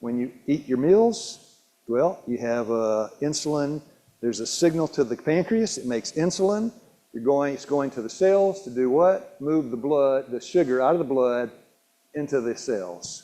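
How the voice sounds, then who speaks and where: A dark, mellow voice at a fairly slow pace with very wide pitch swings. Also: man. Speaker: health educator. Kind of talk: health seminar talk. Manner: halting, self-described stumbling and mumbling.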